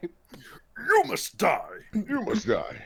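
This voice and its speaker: A put-on character voice comes through at an extremely high pitch. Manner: menacing.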